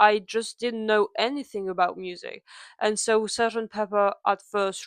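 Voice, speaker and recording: A woman with a slight non-native accent speaks at medium pitch and a moderate pace, her intonation flat and monotone. The sound is dry and close with no echo, over a quiet background. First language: not English. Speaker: music fan YouTuber. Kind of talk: casual story-time talk to camera. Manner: hesitant, with pauses.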